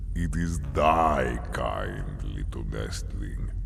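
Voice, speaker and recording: A man uses a put-on character voice with a creaky quality. He goes at a very slow pace over loud background noise. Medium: audio drama. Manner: slow, archaic, disdainful.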